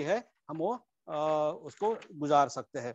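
A man's fairly high-pitched voice with a non-native accent, in a dry sound with no echo and a quiet background. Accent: non-native Hindi. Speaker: Buddhist Dharma teacher; dharma teacher. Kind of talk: Dharma talk. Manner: halting, many fillers. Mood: calm, reflective. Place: home room. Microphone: earbuds.

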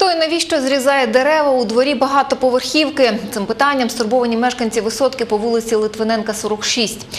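A woman's high-pitched voice at a fairly quick pace, with fairly even intonation, hardly any pauses, and light background noise. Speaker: news anchor. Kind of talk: news reading. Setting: studio. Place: studio. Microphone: lapel.

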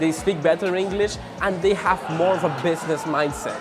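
Clear background music behind a man's voice. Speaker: expat vlogger. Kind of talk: casual vlog chat. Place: cafe. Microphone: lapel.

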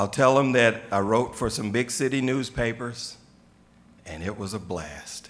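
At a fairly slow pace, a man speaks at medium pitch with a fairly bright tone and ordinary pitch variation.

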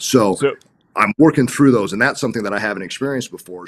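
A man is talking here. His accent is American. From Los Angeles, US. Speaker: real estate agent; guest. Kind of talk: interview. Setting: video call. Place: home room. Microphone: video call.

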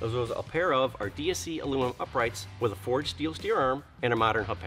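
Music plays faintly behind the speech. The speaker is a man. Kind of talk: product presentation. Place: garage.

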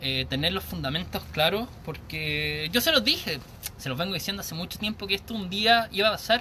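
A man with a Chilean accent, high-pitched, with an animated tone, lively intonation and light background noise. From Chile, Santiago. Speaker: vape reviewer. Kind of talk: live stream product review. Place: garden. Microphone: phone near.

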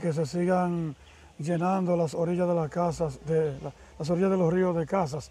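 A man speaks with a high pitch and a dark, mellow tone. The sound is dry with no echo, and his intonation stays fairly even. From Dominican Republic. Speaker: video channel host. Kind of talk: interview. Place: waterside. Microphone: lapel.

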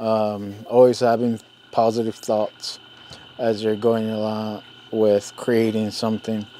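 Over noticeable background noise, a man talks at a very slow pace in a medium pitch, with monotone, flat intonation. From Zuni Pueblo, New Mexico. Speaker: artisan carver. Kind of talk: interview monologue.

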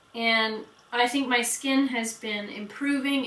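A woman's fairly high voice with audible room echo. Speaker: beauty vlogger. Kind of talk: product review vlog.

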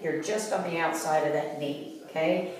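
A woman with a very deep, low pitch speaks at a fairly slow pace, with audible room echo and light background noise. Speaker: fitness instructor. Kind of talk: tutorial.

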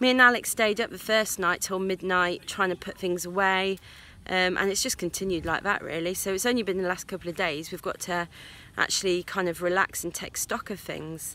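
The sound is dry, with no echo. A woman talks at a fairly quick pace with fairly even intonation. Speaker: sailing vlogger. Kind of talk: casual vlog chat. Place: garden. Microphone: phone near.

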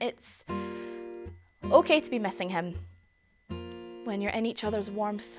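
Clear music plays behind a woman as she talks. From Glasgow, Scotland. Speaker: spoken word performer. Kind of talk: spoken word theatre performance. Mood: intimate, reflective. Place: stage.

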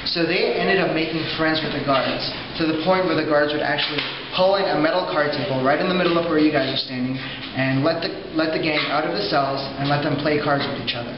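A man talks at a very fast pace over noticeable background noise, with audible room echo. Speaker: tour guide. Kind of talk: guided tour narration. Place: hall. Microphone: camera far.

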